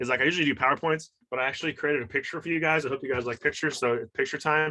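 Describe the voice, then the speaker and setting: Over a quiet background, a man with an American accent speaks in a bright, sharp tone with ordinary pitch variation. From US West Coast, San Francisco Bay Area. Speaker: trauma and fitness coach. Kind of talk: motivational talk. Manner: fast.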